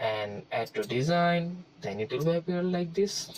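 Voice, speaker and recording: A man with a non-native accent talks at a fairly slow pace. His pitch swings very widely. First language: not English. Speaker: tutorial creator. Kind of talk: tutorial. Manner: halting, many fillers.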